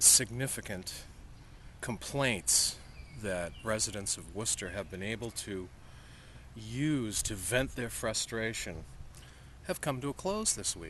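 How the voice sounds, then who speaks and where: A man with a bright, sharp tone and vocal fry speaks at a fairly low pitch and a fairly slow pace, with lively intonation and long, frequent pauses. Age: 60s. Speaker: taxi driver. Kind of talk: casual chat.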